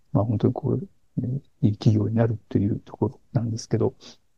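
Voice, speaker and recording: A man with a medium-pitched, somewhat breathy voice talks at a fairly quick pace. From Niigata, Japan. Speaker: executive coach. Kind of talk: interview. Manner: frequent fillers and hesitations.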